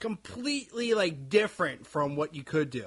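A man with an American accent, a normal speaking voice, lively intonation and a fairly slow pace. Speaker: podcast co-host. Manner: loud, projects voice.

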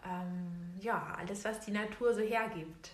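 A woman's medium-pitched voice at a very slow pace with fairly even intonation, plus noticeable background noise and audible room echo. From Berlin, Germany. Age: 20s. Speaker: botanical artist. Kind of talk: interview.

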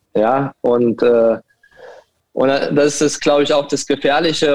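The sound is dry and close, with no echo at all. A man speaks at a medium pitch. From Saarbrücken, Germany. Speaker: football coach. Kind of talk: casual interview. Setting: call-in remote.

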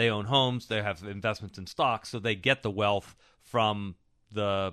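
An unremarkable speaking voice keeps a moderate pace and fairly even intonation. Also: man. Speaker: economist. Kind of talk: casual chat. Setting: studio.

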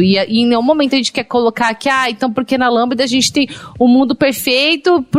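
A woman with a São Paulo accent speaks at a high pitch. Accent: Paulistano Brazilian Portuguese. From São Paulo, Brazil. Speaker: podcast host, HR professional. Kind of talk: casual panel discussion.

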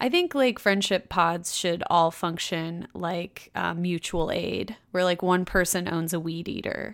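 A woman with a normal speaking voice talks at a fairly slow pace with hardly any pauses, her fairly low pitch carried by fairly even intonation. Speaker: podcast co-host and chapter reader. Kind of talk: casual chat, retelling the plot in slangy modern paraphrase. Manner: relaxed, jokey, laughs often.

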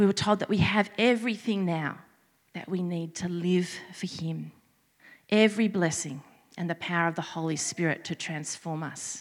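A woman with an Australian accent, fairly low in pitch with ordinary pitch variation, at a moderate pace on a very clean recording with a silent background. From Australia, Sydney. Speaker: preacher. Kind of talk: sermon.

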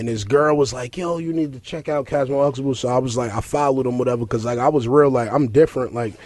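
Speaking at a fast pace, the man has a medium pitch and a slightly mellow tone. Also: ordinary pitch variation.

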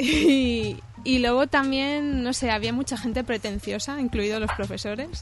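Music plays in the background as a woman speaks at a high pitch with fairly even intonation. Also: moderate pace. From Catalonia, Spain (Cerdanyola). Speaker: illustrator. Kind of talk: interview.

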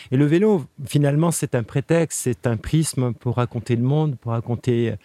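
The voice has a dark, mellow tone and ordinary pitch variation, heard as a dry, close sound with no echo on a very clean recording with a silent background. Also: man. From Switzerland, Geneva. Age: 50s. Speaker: cycle traveller and author. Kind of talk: interview. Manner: halting.

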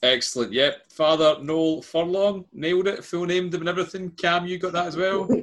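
In a Scottish accent, a man speaks at a high pitch and a fairly quick pace with hardly any pauses. His intonation is fairly even. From Scotland. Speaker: quiz host. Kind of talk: quiz hosting.

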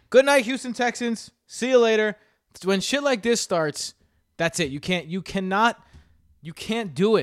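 This speaker has an American accent, an animated tone and lively intonation. The pace is fairly slow, with long, frequent pauses. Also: man, high pitch for a man. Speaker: fantasy football podcast host. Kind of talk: casual chat.

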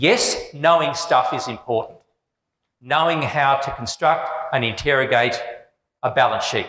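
With an Australian accent and a bright, sharp tone, a man with a fairly high pitch speaks at a fairly slow pace, leaving long, frequent pauses, with ordinary pitch variation amid audible room echo. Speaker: business school professor. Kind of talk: public lecture.

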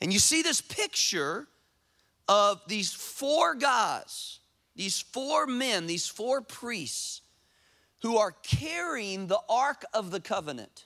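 With a bright, sharp tone, a man projects his high, raised voice at a very slow pace through very wide pitch swings. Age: 40s. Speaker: pastor. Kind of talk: sermon. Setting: church. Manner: animated.

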